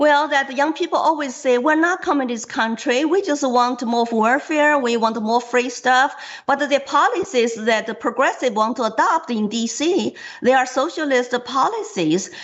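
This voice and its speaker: Speaking at a moderate pace, a woman with a Chinese accent has a high pitch and lively intonation. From China. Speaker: political candidate. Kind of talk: interview.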